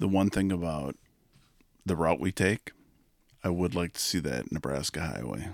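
A man speaks in a very deep, low pitch with vocal fry and ordinary pitch variation. His pace is moderate, with long, frequent pauses, on a very clean recording with a silent background. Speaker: podcast host, hunter. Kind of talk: casual banter.

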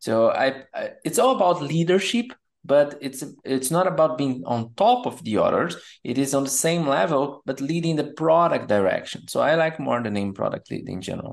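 With a Portuguese accent, a man talks at a moderate pace and fairly high pitch, with very wide pitch swings. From Brazil. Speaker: product management coach. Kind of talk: interview.

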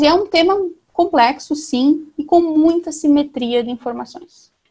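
Her pace is fairly slow. The woman's pitch is high. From Brazil, interior of Paraná (southwest). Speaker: environmental and agribusiness lawyer. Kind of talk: interview. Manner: hesitant, many fillers.

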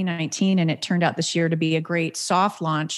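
An unremarkable speaking voice talks at a fairly quick pace on a very clean recording with a silent background. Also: woman. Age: 40s. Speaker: business owner of a placement and training firm. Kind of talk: podcast interview.

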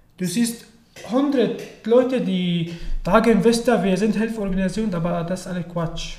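A man speaks with an Arabic accent in a high voice, at a fairly slow pace with ordinary pitch variation. Audible room echo and noticeable background noise surround him. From Syria. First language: Arabic (speaking German). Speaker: refugee. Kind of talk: interview. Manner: halting.

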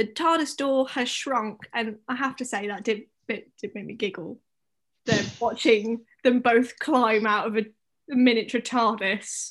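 Speaking fairly slowly, a woman with an unremarkable speaking voice stays fairly high in pitch, with ordinary pitch variation. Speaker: podcast host. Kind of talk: casual chat. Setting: late night recording. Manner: joking, playful.

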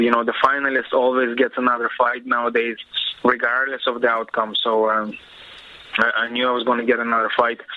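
Over noticeable background noise, a man with a medium pitch speaks at a fairly quick pace with fairly even intonation. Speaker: professional MMA fighter. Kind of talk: interview.

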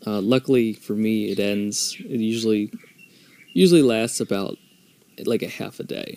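A man with an American accent talks at a fairly slow pace, the sound dry and close with no echo. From United States. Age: 30s. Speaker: podcast host. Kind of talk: solo monologue. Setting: outdoors.

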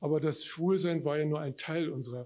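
Speaking at a moderate pace, a man with a fairly high pitch sounds somewhat breathy and varies his pitch in an ordinary way. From Germany, West Berlin. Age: 60s. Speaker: author. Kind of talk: reading aloud. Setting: stage with audience.

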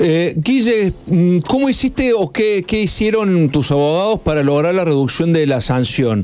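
The pitch swings very widely while loudness stays very even, at a fairly slow pace. Noticeable background noise can be heard. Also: man, high pitch for a man. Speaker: radio host. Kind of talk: casual chat.

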